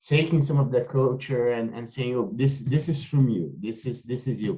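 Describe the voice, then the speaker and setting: This man has a Brazilian accent and a medium pitch. His voice is somewhat breathy. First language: Portuguese. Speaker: podcast host. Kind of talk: interview conversation. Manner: halting, many fillers.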